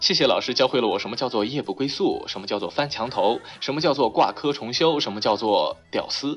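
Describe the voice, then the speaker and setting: Music plays behind a man speaking at a fairly quick pace. He hardly pauses at all. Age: 20s. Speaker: internet radio talk show host. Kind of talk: comedic monologue. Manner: animated.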